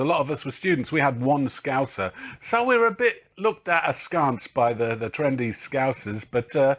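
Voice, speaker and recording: With a slight Liverpool accent, a man at a fairly high pitch talks at a moderate pace with hardly any pauses and very wide pitch swings, in a very clean recording with a silent background. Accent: slight northern twang, from Liverpool years. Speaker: drummer. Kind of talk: interview.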